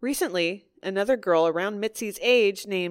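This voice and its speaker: The voice is an unremarkable speaking voice with lively intonation. The sound is dry and close with no echo, and the recording is very clean with a silent background. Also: woman. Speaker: podcast host. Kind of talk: true crime podcast narration and casual banter.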